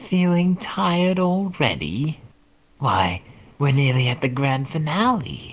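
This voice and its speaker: A man puts on a character voice, cackling in a raspy, fairly high pitch. He goes at a fairly slow pace. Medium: read story. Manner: playful, cackling, menacing.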